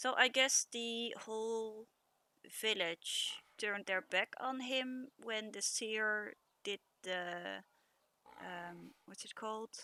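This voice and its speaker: At a very slow pace, a woman with a fairly high voice talks with long, frequent pauses and big swings in loudness, in a dry, close sound with no echo. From Netherlands. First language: Dutch. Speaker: streamer. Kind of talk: gameplay commentary. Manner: halting, many fillers.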